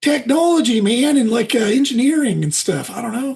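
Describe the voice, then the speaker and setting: Someone does a put-on character voice at a fairly high pitch. The delivery moves at a fairly quick pace. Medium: actual play. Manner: rambling, says 'man' constantly.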